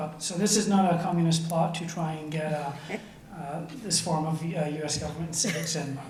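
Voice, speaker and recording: A man with an American accent, high-pitched for a man, with fairly even intonation, audible room echo and noticeable background noise. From Scotland. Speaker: assistant principal. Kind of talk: school committee presentation. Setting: public school committee meeting.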